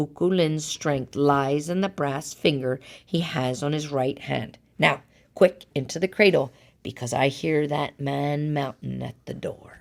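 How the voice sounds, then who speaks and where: A woman puts on a character voice, raspy and very deep and low in pitch. She talks at a fairly slow pace. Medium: read story. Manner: gentle, coaxing.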